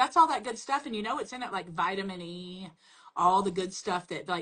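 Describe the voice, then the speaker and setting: A woman with a strong Southern US accent talks at a fairly quick pace, her medium-pitched voice bright and sharp in tone with lively intonation. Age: 40s. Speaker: makeup brand representative. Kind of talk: casual chat.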